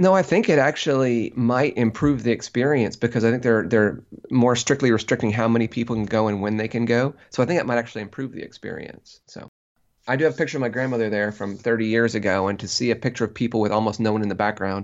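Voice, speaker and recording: Speaking very fast in an American accent, a man keeps a medium pitch with ordinary pitch variation. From central Illinois, US Midwest. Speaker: tourism researcher, professor. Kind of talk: interview. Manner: hesitant, many fillers and repetitions.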